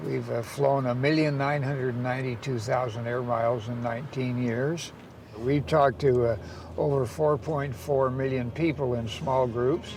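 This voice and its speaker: A man talks with fairly even intonation. Room echo is audible around his voice. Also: medium pitch for a man, moderate pace. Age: 80s+. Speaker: father and caregiver of a savant. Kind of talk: interview.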